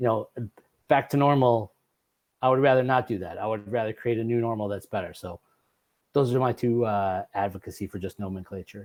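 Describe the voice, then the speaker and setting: Pausing long and often between fairly quick stretches, a man talks at a medium pitch with ordinary pitch variation. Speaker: school board member. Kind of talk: board meeting remarks. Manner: fast.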